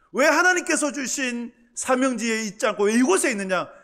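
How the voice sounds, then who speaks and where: With a Gyeongsang accent, a man talks at a fairly quick pace in an extremely high pitch, his tone bright and sharp and his pitch swinging very widely. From Gyeongsang province, Cheongsong. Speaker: pastor. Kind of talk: sermon.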